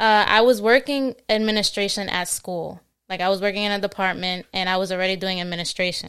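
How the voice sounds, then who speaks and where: A woman with an American accent speaks in a normal speaking voice at a medium pitch and a fairly quick pace. Her intonation is fairly even, and the recording is very clean with a silent background. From New Jersey (born Queens, New York). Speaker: recent college graduate, court administration worker. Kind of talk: casual interview chat.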